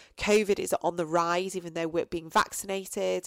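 In a very clean recording with a silent background, a woman with an English accent speaks at a moderate pace, her fairly low voice flat and monotone. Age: 40s. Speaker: podcast host and coach. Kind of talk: solo reflective monologue. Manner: hesitant, many fillers.

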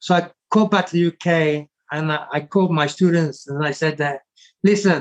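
A man speaks in a high voice with fairly even intonation, the sound dry and close with no echo. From England. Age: 60s. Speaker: martial arts master and stuntman. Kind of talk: interview. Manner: halting.

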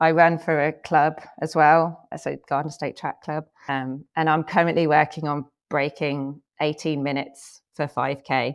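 Against a quiet background, a woman with a very deep, low pitch speaks at a fairly slow pace with fairly even intonation. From England. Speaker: healthcare marketing executive. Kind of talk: interview conversation.

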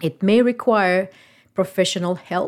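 This natural reading voice moves through ordinary shifts in pitch.

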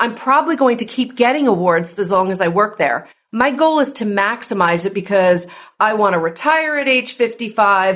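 The intonation is lively, delivered in an American accent. The pace stays moderate. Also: woman, fairly high pitch for a woman. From New Jersey. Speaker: wealth advisor and tax expert. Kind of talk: podcast interview.

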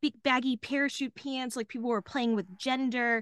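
A woman's animated, bright and sharp voice, fairly high in pitch, with a Texan accent, recorded dry and close with no echo over a quiet background. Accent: Texan American. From Dallas, Texas. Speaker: comedian. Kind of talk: casual chat.

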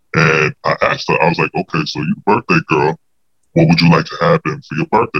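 Very wide pitch swings mark a man's very fast speech. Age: 30s. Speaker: podcast guest telling a personal story. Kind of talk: storytelling interview.

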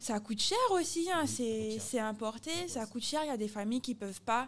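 A woman talks at a moderate pace with a fairly high pitch. Hers is an unremarkable speaking voice. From Guadeloupe. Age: 30s. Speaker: athlete and expatriate. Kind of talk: casual interview chat.

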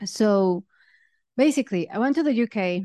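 A woman with a Spanish accent talks at a moderate pace. The sound is dry and close with no echo, against a quiet background. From Mexico. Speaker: podcast host and fintech product leader. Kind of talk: solo podcast monologue. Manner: animated.

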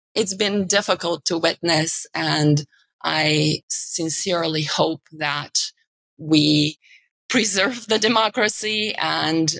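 In a dry, close sound with no echo, a woman with a Bulgarian accent speaks at a very slow pace in a very deep, low pitch marked by vocal fry. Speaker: media executive. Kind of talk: interview conversation.

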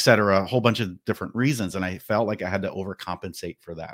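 In a very clean recording with a silent background and a dry, close sound with no echo, a man with an American accent speaks at very deep, low pitch with ordinary pitch variation. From New Jersey, New York area. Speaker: marketing manager and podcast host. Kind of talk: casual interview.

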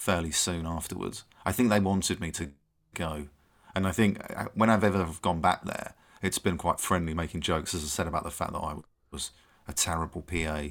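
In an English accent, a man talks at a fairly quick pace with a very deep, low pitch and fairly even intonation. The recording is very clean, with a silent background. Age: 30s. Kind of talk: casual chat. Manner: halting.

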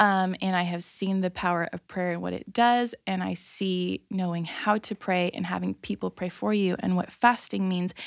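Using an ordinary speaking voice, a woman of medium pitch speaks at a moderate pace with fairly even intonation and hardly any pauses, on a very clean, dry, close recording with no echo and a silent background. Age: 20s. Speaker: stay-at-home mom. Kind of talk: casual chat.

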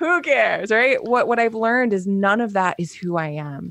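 In a dry, close recording with no echo, a woman talks at a moderate pace in an ordinary speaking voice with ordinary pitch variation. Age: 30s. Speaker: health coach and entrepreneur. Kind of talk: casual chat.

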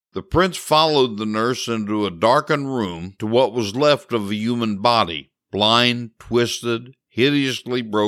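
Ordinary pitch variation runs through a natural reading voice. Nothing much stirs in the background.

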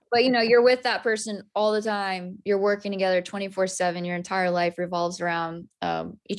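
In a plain, everyday voice, a woman with an American accent speaks at a medium pitch and a moderate pace on a very clean recording with a silent background. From Texas (Amarillo). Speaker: country singer-songwriter. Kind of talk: interview.

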